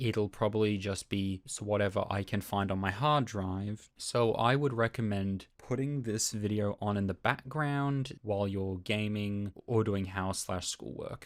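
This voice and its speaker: A man speaks with hardly any pauses and ordinary pitch variation. The recording is very clean, with a silent background. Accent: Australian. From Australia. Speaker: YouTuber and sound designer. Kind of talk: casual update talk. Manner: some stumbles and repeats.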